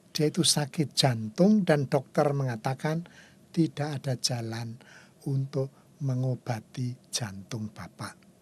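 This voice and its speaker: Somewhat breathy, a man speaks at a very slow pace and medium pitch. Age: 70s. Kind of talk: spiritual talk show conversation.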